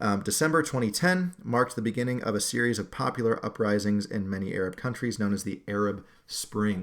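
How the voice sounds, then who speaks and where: A man with an American accent and a plain, everyday voice speaks at medium pitch on a very clean recording with a silent background. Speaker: history teacher. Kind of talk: lecture. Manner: casual with many fillers.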